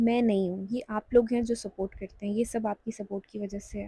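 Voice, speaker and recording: A woman with a fairly high pitch and a dark, mellow, somewhat breathy tone speaks in a flat monotone, the sound dry and close with no echo. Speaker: vlogger and charity volunteer. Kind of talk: vlog voiceover narration. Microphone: clip-on mic makes voice sound bad.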